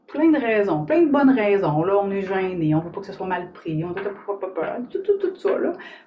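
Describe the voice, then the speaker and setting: A woman with a Quebec accent speaks at a medium pitch and a moderate pace with lively intonation, and room echo is audible. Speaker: author and somatic coach. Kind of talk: live stream talk to viewers. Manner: animated, informal.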